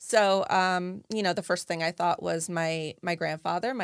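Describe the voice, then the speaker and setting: This is a normal speaking voice from a woman with an American accent, pitched fairly low. She moves at a moderate pace with ordinary pitch variation. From New Jersey. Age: 40s. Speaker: advocate. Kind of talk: interview. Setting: studio.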